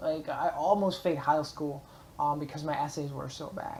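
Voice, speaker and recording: Noticeable background noise behind a woman talking at a fairly quick pace. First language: German. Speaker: vlogger and blogger. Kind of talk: casual motivational vlog monologue. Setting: public library space. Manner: hesitant, many fillers.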